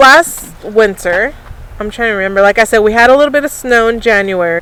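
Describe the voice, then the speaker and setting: A woman with an American accent has a plain, everyday voice, fairly high in pitch, with ordinary pitch variation at a fairly quick pace. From California, Temecula. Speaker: YouTuber. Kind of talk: casual chat.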